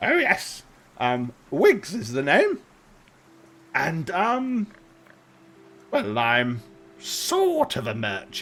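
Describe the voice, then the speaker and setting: Using a put-on character voice, a man speaks shrill and high-pitched at a very slow pace, with long, frequent pauses. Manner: loud.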